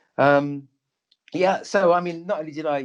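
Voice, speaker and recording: A man is speaking. He talks with a London accent. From North London, England. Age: 60s. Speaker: doctor and psychic medium. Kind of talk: interview conversation. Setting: radio show.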